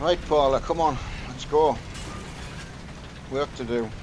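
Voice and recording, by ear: A man talks slowly at a medium pitch with ordinary pitch variation.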